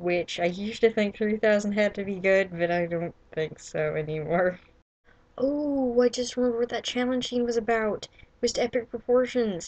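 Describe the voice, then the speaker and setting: At a moderate pace, a woman speaks in an ordinary speaking voice, fairly high in pitch with ordinary pitch variation. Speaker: writer and vlogger. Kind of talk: casual vlog monologue.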